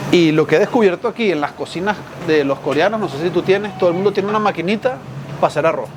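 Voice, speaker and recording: Amid noticeable background noise, a man with a strong Venezuelan accent talks at a very fast pace in a high pitch with ordinary pitch variation. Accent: Venezuelan, strong despite 20 years in Spain. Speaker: journalist and writer. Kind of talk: casual chat.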